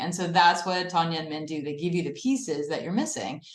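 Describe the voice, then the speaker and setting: A woman's voice with audible room echo. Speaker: acupuncturist. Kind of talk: testimony. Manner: fast.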